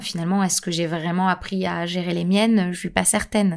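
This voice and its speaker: Fairly quick and monotone, a woman speaks with a fairly low pitch and flat intonation. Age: 30s. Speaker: podcast host. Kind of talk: podcast monologue. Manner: hesitant.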